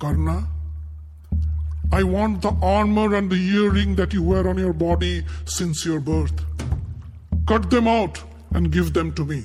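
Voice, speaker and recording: A man performs a put-on character voice with long, frequent pauses. Clear music plays in the background. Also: moderate pace. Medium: read story. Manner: measured, solemn.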